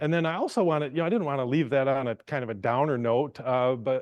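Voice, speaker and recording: Here a man talks at a fairly quick pace with an American accent. His pitch is medium, with ordinary variation. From western Michigan. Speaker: psychiatrist. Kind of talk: lecture. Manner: halting.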